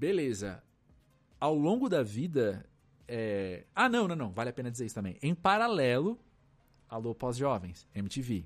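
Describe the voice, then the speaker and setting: A man's fairly slow speech with very wide pitch swings and long, frequent pauses, music in the background. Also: medium pitch for a man. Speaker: cultural journalist and podcaster. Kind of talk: casual chat. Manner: halting.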